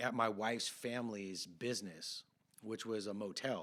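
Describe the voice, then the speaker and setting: With an American accent, a man speaks at a medium pitch in a bright, sharp tone. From California, Santa Cruz area. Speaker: podcast host. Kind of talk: casual chat.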